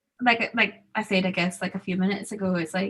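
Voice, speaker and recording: A medium-pitched woman's voice in an American accent. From Zambia. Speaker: student panelist. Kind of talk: panel discussion. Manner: casual, hesitant with fillers.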